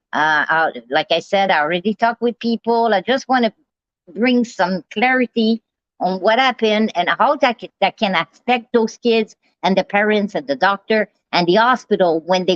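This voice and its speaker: Animated in tone, a woman with fairly high pitch talks at a moderate pace with lively intonation. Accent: Quebec. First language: French. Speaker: live streamer. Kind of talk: casual live stream monologue.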